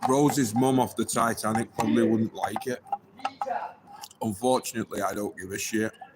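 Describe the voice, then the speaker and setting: Delivered at a moderate pace with ordinary pitch variation, the speech has long, frequent pauses over noticeable background noise. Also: man, medium pitch for a man. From northern England, Wigan. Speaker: livestreamer. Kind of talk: casual livestream chat.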